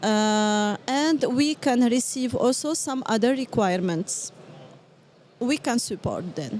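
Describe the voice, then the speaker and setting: In a slight French accent, a woman speaks very slowly with a high pitch and lively intonation. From Morocco. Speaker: business development manager. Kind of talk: interview. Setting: live at a trade event. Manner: halting, many fillers.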